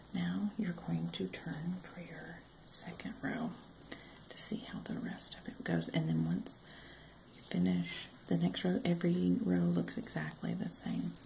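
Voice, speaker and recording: The speaker is soft-spoken with a calm tone. The pace is fairly slow. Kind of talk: crochet tutorial, soft-spoken instruction to camera. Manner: soft-spoken, calm.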